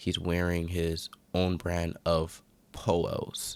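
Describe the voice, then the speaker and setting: A man speaks quietly in a very deep, low voice on a very clean recording with a silent background. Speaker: gaming YouTuber. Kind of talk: video commentary breakdown. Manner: speaking quietly.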